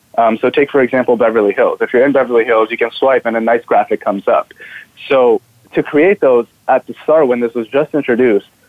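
The speaker is a man with a plain, everyday voice. He talks at medium pitch and a fairly quick pace. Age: 20s. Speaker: student entrepreneur. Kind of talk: interview.

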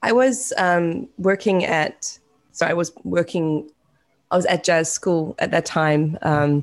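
This woman has a New Zealand accent. Her pitch is very deep and low. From New Zealand, West Auckland. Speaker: singer-songwriter. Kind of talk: casual chat. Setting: video call.

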